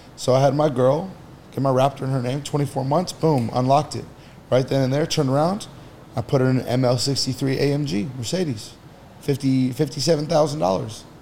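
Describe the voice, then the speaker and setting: In a plain, everyday voice, a man speaks at a fairly slow pace, his pitch fairly high with ordinary pitch variation. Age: 30s. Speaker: entrepreneur. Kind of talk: casual chat.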